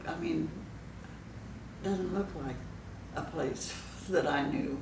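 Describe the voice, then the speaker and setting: A woman with an American accent at a moderate pace, over noticeable background noise. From Southern California, USA. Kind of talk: interview answer. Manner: reminiscing, hesitant.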